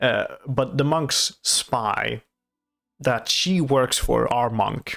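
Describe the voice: A man with a non-native accent speaks at a medium pitch with ordinary pitch variation. His voice carries vocal fry. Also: fairly bright tone.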